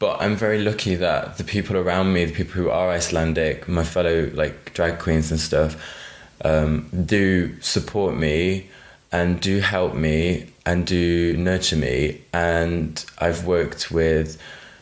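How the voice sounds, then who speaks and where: Over audible room echo, a man with a British accent speaks at a fairly slow pace in a very deep, low voice, with fairly even intonation and very even loudness. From United Kingdom. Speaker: drag queen. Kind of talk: podcast interview. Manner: casual, many fillers like 'like'.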